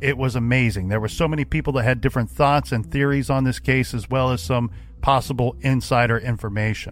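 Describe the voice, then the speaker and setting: Over music in the background, a man speaks fairly quickly at a medium pitch with ordinary pitch variation. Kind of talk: true-crime narration. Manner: serious, measured, storytelling tone.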